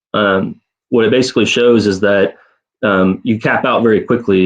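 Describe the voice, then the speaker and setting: Fairly low in pitch, a man speaks at a fairly quick pace in a monotone, flat delivery. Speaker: tax advisor panelist. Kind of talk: webinar panel presentation. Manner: fast.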